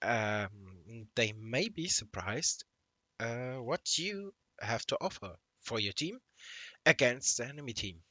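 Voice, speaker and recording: Speaking with a non-native accent, a man with a medium-pitched voice talks at a very slow pace with lively intonation and long, frequent pauses. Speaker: gaming YouTuber. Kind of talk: gameplay commentary. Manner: halting, many fillers.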